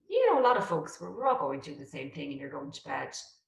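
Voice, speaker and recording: A woman speaks with a Dublin accent. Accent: Irish, Dublin. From Ireland. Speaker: real estate agent. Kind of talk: interview answer.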